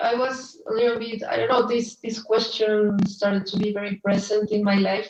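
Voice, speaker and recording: Her intonation flat and monotone, a woman speaks at a fairly high pitch. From Colombia, Bogota. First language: Spanish. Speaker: artist and illustrator. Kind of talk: presentation. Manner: halting.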